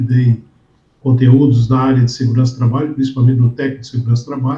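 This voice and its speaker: A man speaks with a dark, mellow tone and a somewhat breathy quality. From southern Brazil, Porto Alegre. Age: 60s. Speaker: safety instructor and professor. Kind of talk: interview.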